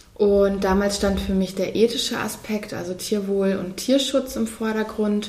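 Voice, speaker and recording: There is audible room echo and noticeable background noise as the speaker goes at a fairly slow pace. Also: woman. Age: 30s. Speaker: physician. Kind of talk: interview.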